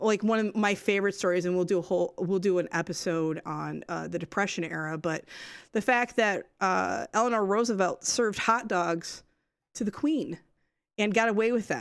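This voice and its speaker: On a very clean recording with a silent background, a woman with an ordinary speaking voice talks at a moderate pace, with medium pitch and ordinary pitch variation. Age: 40s. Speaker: podcast studio owner and producer. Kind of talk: casual chat.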